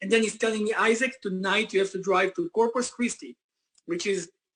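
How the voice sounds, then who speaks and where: Talking at a fairly quick pace with a non-native accent, a man uses a high pitch with ordinary pitch variation. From Israel. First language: Hebrew. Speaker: company founder and CEO. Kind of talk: motivational business presentation. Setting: conference call.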